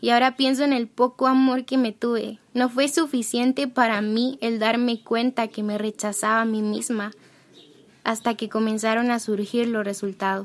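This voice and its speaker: An unremarkable speaking voice from a woman, fairly high in pitch, with fairly even intonation and a moderate pace, on a very clean recording with a silent background. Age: 20s. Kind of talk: personal testimony.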